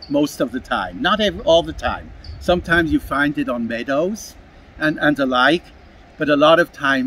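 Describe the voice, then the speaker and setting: A man with a Swiss German accent at a moderate pace. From Switzerland, Basel (German-speaking). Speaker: street musician. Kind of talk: casual interview. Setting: outdoors in a park.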